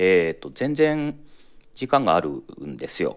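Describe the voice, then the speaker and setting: A man talking at a fairly slow pace. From Japan, Toyama prefecture. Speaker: guest, food import businessman. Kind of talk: casual chat. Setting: remote call from New Zealand.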